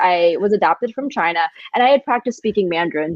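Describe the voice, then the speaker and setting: Her words come at a fairly quick pace. She is a woman with an American accent. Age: 20s. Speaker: entrepreneur and designer. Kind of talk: casual chat. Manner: animated.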